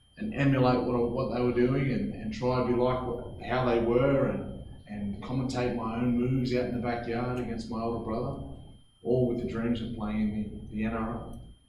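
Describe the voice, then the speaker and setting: A man with an Australian accent speaks at medium pitch and a moderate pace, his intonation monotone and flat. Noticeable background noise and audible room echo fill the recording. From Australia, New South Wales. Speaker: former rugby league player, mental health speaker. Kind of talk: motivational talk to students. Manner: halting, repeats words.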